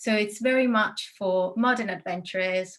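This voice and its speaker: In an Italian accent, a woman speaks at a fairly slow pace with a bright, sharp tone. Her intonation is fairly even. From Italy. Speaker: destination wedding planner. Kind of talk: interview.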